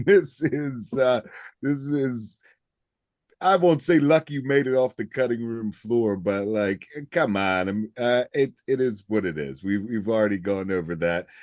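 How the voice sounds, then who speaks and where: A medium-pitched man with a Baltimore accent, fairly slow and lively in intonation, in a dry, close sound with no echo against a quiet background. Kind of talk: casual podcast talk.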